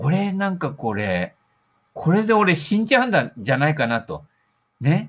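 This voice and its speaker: The speaker talks at a fairly slow pace with very wide pitch swings. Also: man, fairly high pitch for a man. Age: 60s. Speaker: solo podcaster / golf hobbyist. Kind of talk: casual monologue. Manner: relaxed, rambling.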